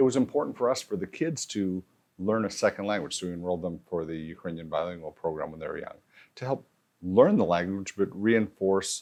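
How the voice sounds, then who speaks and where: In a Manitoba accent, a man speaks at a moderate pace. His pitch is very deep and low. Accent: Canadian English (Manitoba). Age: 60s. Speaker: former politician and realtor. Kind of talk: interview. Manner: hesitant, many fillers.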